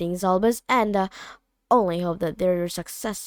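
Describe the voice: Plain reading aloud is heard here. The background is quiet.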